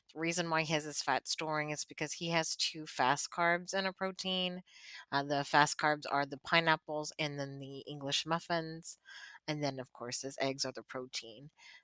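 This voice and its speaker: In a very clean recording with a silent background and a dry, close sound with no echo, a woman with a bright, sharp tone and a very deep, low pitch speaks at a moderate pace with fairly even intonation. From Louisiana. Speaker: weight loss vlogger. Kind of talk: casual vlog talk.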